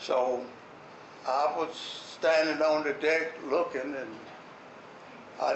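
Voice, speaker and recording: A man with an American accent talks in a fairly high pitch. His intonation is fairly even, with noticeable background noise. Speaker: war veteran. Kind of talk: war memories talk to an audience.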